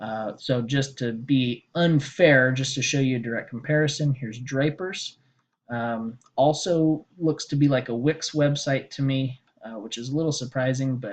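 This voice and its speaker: A man speaks at a moderate pace in a normal speaking voice. His pitch is medium, with ordinary variation. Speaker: SEO consultant pitching a small business. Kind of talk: sales pitch screen-share walkthrough. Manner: casual with many fillers.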